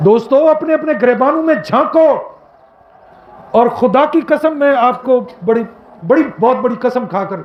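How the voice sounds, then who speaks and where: A man speaks with audible room echo. Noticeable background noise runs behind him. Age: 60s. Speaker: Islamic preacher, professor. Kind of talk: Eid sermon. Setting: outdoor Eid prayer ground with congregation. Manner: emotional, impassioned.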